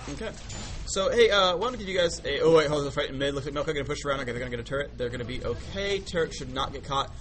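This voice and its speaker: Very fast speech from a man, plus noticeable background noise and audible room echo. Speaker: esports commentator. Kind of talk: live commentary. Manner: animated.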